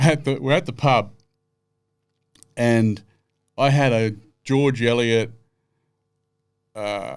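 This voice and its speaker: With a strong Australian accent, a man talks at a very slow pace and medium pitch. Long, frequent pauses break up his speech, and his pitch varies in an ordinary way. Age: 60s. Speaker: live music producer and former racing driver. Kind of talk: casual chat. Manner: animated.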